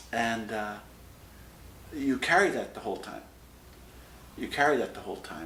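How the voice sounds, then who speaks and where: Amid noticeable background noise and audible room echo, a man with an American accent speaks at a fairly quick pace. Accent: Irish with American overtones. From west of Ireland, Galway. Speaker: immigrant interviewee. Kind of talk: interview testimony.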